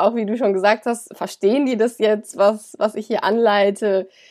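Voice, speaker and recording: Heard in a very clean recording with a silent background, an unremarkable speaking voice moves at a fairly slow pace. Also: woman. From Germany, Cologne. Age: 20s. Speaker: yoga teacher and student. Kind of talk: interview.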